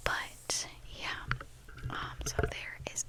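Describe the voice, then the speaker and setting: Whispering is heard with noticeable background noise behind it. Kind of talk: ASMR casual talk to camera. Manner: whispered.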